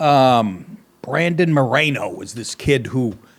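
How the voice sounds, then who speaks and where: This man talks at a fairly high pitch with very wide pitch swings. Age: 60s. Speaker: comedian and podcast host. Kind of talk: casual monologue. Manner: rambling, halting with repetitions; animated.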